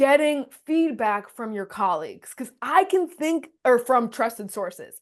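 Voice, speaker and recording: The speaker has an animated tone, very wide pitch swings and big swings in loudness at a fairly slow pace over a quiet background. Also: woman, high pitch for a woman. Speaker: communication coach, co-host. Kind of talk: casual podcast chat. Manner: animated, high energy.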